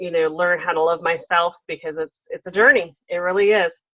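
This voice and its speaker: Speaking with an American accent, a woman uses a medium pitch. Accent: Southern drawl, slight, comes out at times. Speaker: talk show host. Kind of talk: interview podcast; reading aloud a guest bio.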